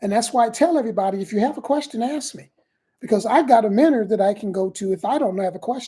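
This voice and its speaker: Very fast and somewhat breathy, the voice has lively intonation and a dark, mellow tone. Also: woman. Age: 60s. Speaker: affiliate marketer. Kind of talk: live stream talk. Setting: live stream.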